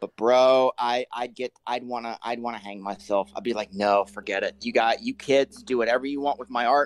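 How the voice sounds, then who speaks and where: In a plain, everyday voice, a man speaks at medium pitch and a moderate pace with ordinary pitch variation, the sound dry and close with no echo. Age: 30s. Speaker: guest. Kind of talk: casual chat.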